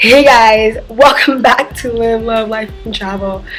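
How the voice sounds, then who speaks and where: A woman's voice over noticeable background noise. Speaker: travel vlogger. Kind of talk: casual chat. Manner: chatty, filler-heavy.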